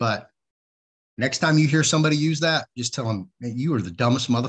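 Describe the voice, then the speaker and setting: Against a quiet background, a man talks at a fairly quick pace. His voice is somewhat breathy. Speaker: show host. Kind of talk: live show commentary. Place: home room. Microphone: webcam.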